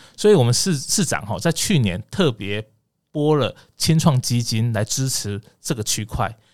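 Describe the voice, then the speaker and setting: Lively intonation marks this man's medium-pitched speech at a moderate pace. The recording is very clean with a silent background. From Taiwan, Kaohsiung. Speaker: agricultural government official. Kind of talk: interview. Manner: hesitant, many fillers.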